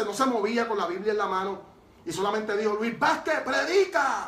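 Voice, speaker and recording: A man speaks in a high voice. There is noticeable background noise and audible room echo. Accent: Puerto Rican. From Puerto Rico. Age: 40s. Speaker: evangelist, former reggaeton artist. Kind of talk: testimony. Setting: studio.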